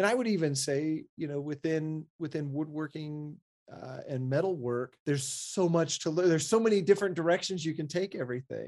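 A man talks at a fairly quick pace against a quiet background, with an unremarkable speaking voice. His pitch is fairly high and varies in an ordinary way. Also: hardly any pauses. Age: 40s. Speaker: architect and maker podcast co-host. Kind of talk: casual chat.

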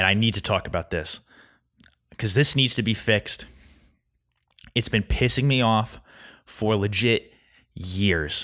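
A loud man with a bright, sharp tone and a fairly low pitch, with long, frequent pauses. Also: ordinary pitch variation, very clean recording, silent background. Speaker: podcast host. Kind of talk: solo monologue. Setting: home recording, alone. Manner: fast; loud, animated.

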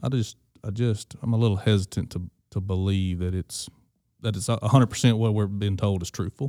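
A man with a Mississippi accent talks at a fairly quick pace in a dark, mellow tone, with fairly low pitch and fairly even intonation. The recording is very clean, with a silent background and a dry, close sound with no echo. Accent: US Southern (Mississippi). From Mississippi Delta, Greenville. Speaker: agricultural lender. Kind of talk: casual interview. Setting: at a conference event.

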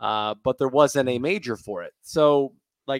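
On a very clean recording with a silent background and a dry, close sound with no echo, a man with an American accent speaks at a medium pitch and a fairly slow pace, with ordinary pitch variation. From Florida, Tampa. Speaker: public speaking trainer and communication professor. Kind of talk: casual interview. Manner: animated.

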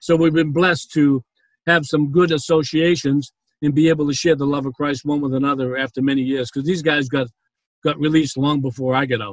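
Speaking fairly quickly with a Boston accent, a man with a fairly high voice keeps his intonation fairly even in a dry, close recording with no echo. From Boston, Massachusetts. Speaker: prison ministry founder, former banker. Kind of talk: interview, testimony. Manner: hesitant, with frequent fillers.

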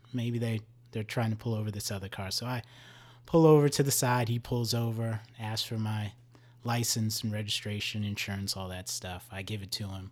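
A man with an American accent and a normal speaking voice talks at a moderate pace with a medium pitch and fairly even intonation, in a very clean recording with a silent background. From New Jersey. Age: 30s. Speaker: police officer. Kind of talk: casual interview.

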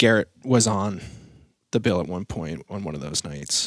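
With an American accent and vocal fry, a man talks at a moderate pace with very wide pitch swings, in a dry, close sound with no echo. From Maine, US. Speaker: musician. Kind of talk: casual interview.

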